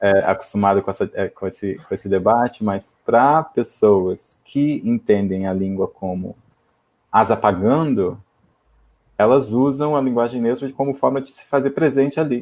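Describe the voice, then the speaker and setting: A man uses an ordinary speaking voice at a medium pitch and moderate pace, with ordinary pitch variation and big swings in loudness. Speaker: linguistics professor. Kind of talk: academic Q&A. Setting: online live video event.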